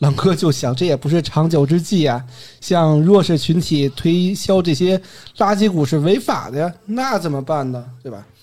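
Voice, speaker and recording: A man's high-pitched voice, dark and mellow in tone, at a moderate pace, with lively intonation. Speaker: podcast host. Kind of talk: casual storytelling chat. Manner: occasionally trips over words.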